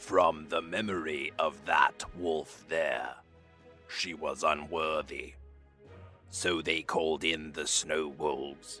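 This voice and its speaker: Over clear background music, a man uses a put-on character voice, very slow and at a very deep, low pitch. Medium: audio drama. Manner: slow, solemn, ancient.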